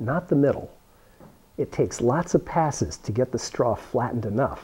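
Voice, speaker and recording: At a moderate pace, a man talks with lively intonation. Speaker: science teacher demonstrator. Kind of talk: tutorial. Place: classroom. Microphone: phone near.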